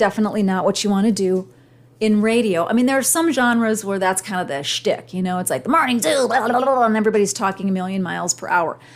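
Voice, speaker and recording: With lively intonation, a woman talks in an ordinary speaking voice on a very clean recording with a silent background. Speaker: podcast host and communication coach. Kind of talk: solo podcast monologue.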